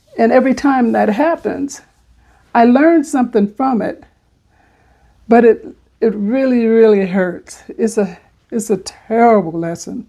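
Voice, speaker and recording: The voice has a dark, mellow tone and lively intonation at a fairly slow pace. Long, frequent pauses break up the speech. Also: woman, fairly high pitch for a woman. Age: 70s. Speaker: vlogger. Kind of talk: personal monologue. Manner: halting.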